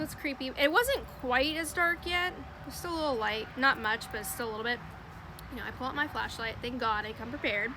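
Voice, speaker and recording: In a raised, projected voice, a woman with a high pitch talks fairly quickly in an animated tone, with ordinary pitch variation and noticeable background noise. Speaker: storytelling vlogger. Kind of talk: casual storytime monologue. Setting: outdoors. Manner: loud.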